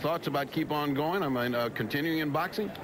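A man speaks at a fast pace with a medium pitch and ordinary pitch variation. Background noise is clearly audible.

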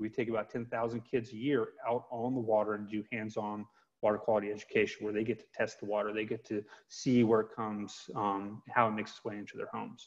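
Against a quiet background, a man with an American accent and fairly low pitch talks at a fairly quick pace in a monotone, flat intonation. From US South, Georgia (Metro Atlanta); Georgia. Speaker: environmental nonprofit advocate. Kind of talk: webinar interview. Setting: video call. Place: home room. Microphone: earbuds.

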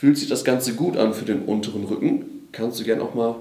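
A man speaks with ordinary pitch variation amid audible room echo. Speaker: physiotherapy exercise instructor. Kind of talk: tutorial. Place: gym.

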